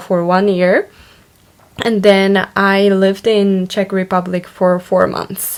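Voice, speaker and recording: A woman with a medium-pitched voice talks at a fairly slow pace over noticeable background noise. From Japan. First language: Japanese. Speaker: online university student vlogger. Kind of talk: casual vlog monologue. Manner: hesitant, many fillers.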